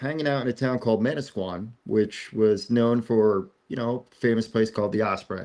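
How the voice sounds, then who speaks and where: A man with a New Jersey accent, medium pitch, fairly even intonation, a moderate pace and hardly any pauses. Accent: New Jersey American. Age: 40s. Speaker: talk show host. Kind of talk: casual chat. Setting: outdoors on the beach.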